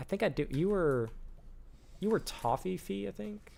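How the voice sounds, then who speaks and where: Very wide swings in pitch from a male speaker. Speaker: gaming streamer. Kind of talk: live gameplay commentary. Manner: fast.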